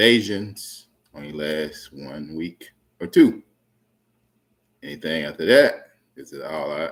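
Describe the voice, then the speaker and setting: A man speaks at a very slow pace in a very deep, low voice. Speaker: YouTube commentator. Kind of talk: political rant to camera. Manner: loud, raised voice.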